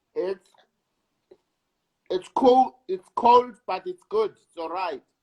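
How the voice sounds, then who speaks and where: Very slowly, a man speaks with a South African accent at an extremely high pitch, with very wide pitch swings and big swings in loudness. The sound is dry and close, with no echo. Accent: South African (Sesotho-speaking) English. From South Africa, Soweto and Lesotho. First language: Sesotho. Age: 60s. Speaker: actor. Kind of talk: interview.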